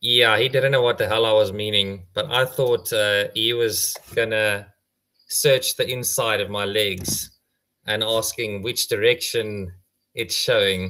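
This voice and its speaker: A man with an Afrikaans accent speaks fairly slowly at a medium pitch, with a bright, sharp tone and fairly even intonation. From South Africa. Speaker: tortoise conservationist. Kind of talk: casual chat, anecdote. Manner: halting, many fillers.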